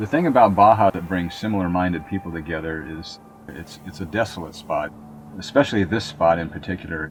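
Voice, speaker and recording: With an American accent, a man speaks at a very deep, low pitch and a moderate pace. His pitch varies in an ordinary way, with music in the background. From San Diego, California. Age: 60s. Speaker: retired surfer and board shaper. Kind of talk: documentary interview.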